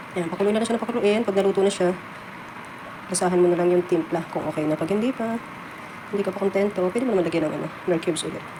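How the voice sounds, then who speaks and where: A woman's medium-pitched voice at a very fast pace, with noticeable background noise. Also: fairly even intonation. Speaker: cooking vlogger, household worker abroad. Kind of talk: cooking tutorial.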